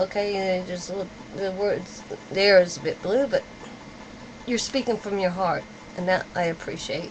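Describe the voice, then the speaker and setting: Amid noticeable background noise, a woman of medium pitch talks at a moderate pace with ordinary pitch variation. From UK. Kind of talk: video reply monologue. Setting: webcam at home. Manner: halting.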